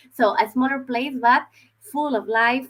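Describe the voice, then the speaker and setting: With a Spanish accent, a woman talks at a moderate pace in a fairly high voice. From Spain, Madrid. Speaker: university recruitment representative. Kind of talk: online information session presentation. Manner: halting, with filler words and repetitions.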